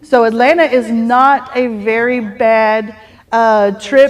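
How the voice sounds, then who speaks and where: The woman has a Texas accent and a fairly high pitch. Her intonation stays fairly even. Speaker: real estate team leader. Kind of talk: team meeting announcements.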